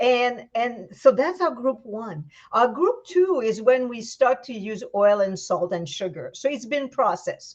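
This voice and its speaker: A woman with a Quebec accent speaks in an animated tone at a high pitch and fairly slow pace, with hardly any pauses, very wide pitch swings and big swings in loudness. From Quebec, Canada. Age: 60s. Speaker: vegan raw food chef. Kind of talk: casual interview chat.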